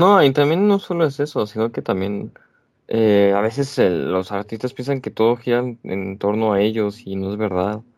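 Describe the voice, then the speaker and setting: A normal speaking voice, heard on a very clean recording against a silent background. Pitch varies in an ordinary way, and the pace is moderate. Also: man, fairly low pitch for a man. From Mexico. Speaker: podcast co-host. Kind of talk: casual chat.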